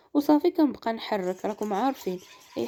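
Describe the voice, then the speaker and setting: A dark, mellow tone comes through at a moderate pace on a very clean recording with a silent background. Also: woman. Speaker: cooking video creator. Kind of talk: cooking tutorial.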